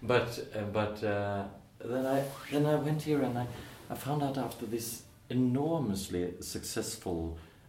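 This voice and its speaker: This man speaks at a fairly slow pace with a Norwegian accent. His intonation is lively. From Norway. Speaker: musical theatre actor and singer. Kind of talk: casual interview. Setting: theatre.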